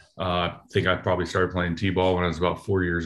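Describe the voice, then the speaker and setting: With an American accent, the man speaks at a very deep, low pitch. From US West Coast, Oakland, California. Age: 30s. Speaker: retired baseball player. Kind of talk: interview.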